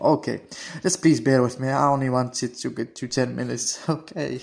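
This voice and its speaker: Fairly quick speech comes through with noticeable background noise behind it. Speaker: gaming video creator. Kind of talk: casual gameplay commentary. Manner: halting, stuttering a little.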